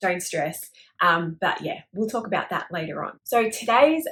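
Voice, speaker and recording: Fairly high in pitch, this woman's voice has a bright, sharp tone and an Australian accent. Her pitch swings very widely. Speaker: crochet YouTuber. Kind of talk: casual talk to camera.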